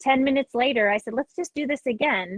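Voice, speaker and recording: The sound is dry and close, with no echo. A woman talks at a moderate pace in an ordinary speaking voice, with ordinary pitch variation. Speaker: music educator and clinician. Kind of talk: online clinic presentation.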